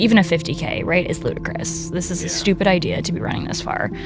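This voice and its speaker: A woman's voice, dry with no echo, over clear music in the background. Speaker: guest. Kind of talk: interview answer. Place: studio. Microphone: studio mic.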